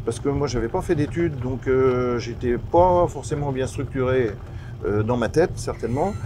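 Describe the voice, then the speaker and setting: Over noticeable background noise and audible room echo, a man talks at a medium pitch and moderate pace with ordinary pitch variation. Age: 60s. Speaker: business founder. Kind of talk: interview. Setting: outdoors on a farm. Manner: hesitant, many fillers and repetitions.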